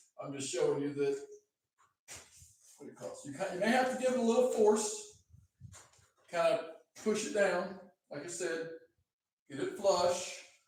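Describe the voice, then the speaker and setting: With long, frequent pauses and lively intonation, a man speaks at a high pitch for a man, and there is audible room echo. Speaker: DJ equipment demonstrator. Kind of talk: live stream tutorial. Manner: slow, step-by-step.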